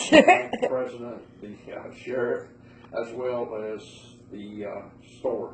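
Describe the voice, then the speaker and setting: Pausing long and often, a man with an Appalachian accent talks at a very slow pace amid audible room echo. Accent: Appalachian Southern US. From western North Carolina, Bryson City. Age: 70s. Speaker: interviewee recalling moonshining. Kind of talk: oral history interview.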